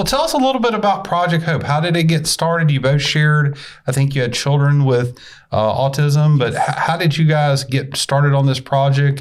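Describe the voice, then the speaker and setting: A man with a fairly high pitch talks at a fairly quick pace. His pitch variation is ordinary. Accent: slight Southern US. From US South. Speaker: podcast host. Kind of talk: casual interview.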